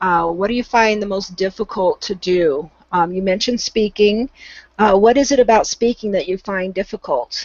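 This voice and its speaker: A woman's medium-pitched voice at a moderate pace, with ordinary pitch variation. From Southern California. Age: 50s. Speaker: volunteer English tutor. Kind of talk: online English conversation class. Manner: hesitant, many fillers.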